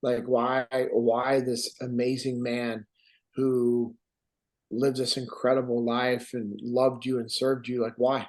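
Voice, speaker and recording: The man speaks in an American accent at a fairly slow pace. His intonation is monotone and flat. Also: medium pitch for a man. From Sacramento, California. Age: 40s. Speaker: war veteran. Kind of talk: podcast interview.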